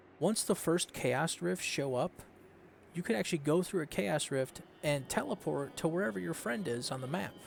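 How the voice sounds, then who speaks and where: A man speaks with vocal fry and very wide swings in pitch. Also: fairly high pitch for a man, moderate pace. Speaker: gaming commentator. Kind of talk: gameplay tutorial. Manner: mumbling; casual, hesitant with fillers.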